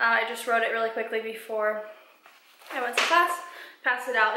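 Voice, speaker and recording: At a very fast pace, a woman with an American accent speaks in a high voice over noticeable background noise and audible room echo. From Colorado. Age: 20s. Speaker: vlogger, college student. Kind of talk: reading aloud; casual vlog.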